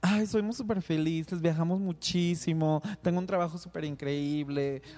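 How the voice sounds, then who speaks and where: Ordinary pitch variation runs through talking delivered at a moderate pace. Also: man. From Mexico, Guadalajara. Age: 30s. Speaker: podcast co-host, graphic designer. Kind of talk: casual chat.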